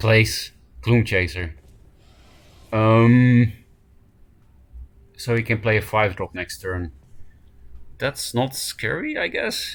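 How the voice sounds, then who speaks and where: Very slow pace from a man, broken by long, frequent pauses. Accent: Dutch. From Netherlands. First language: Dutch. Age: 20s. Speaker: card game streamer. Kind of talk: live gameplay commentary.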